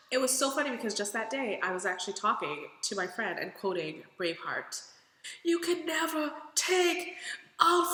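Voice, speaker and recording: A woman with an American accent uses a raised, projected voice, an animated tone and very wide pitch swings, with noticeable background noise and audible room echo. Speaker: vlogger. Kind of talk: casual vlog.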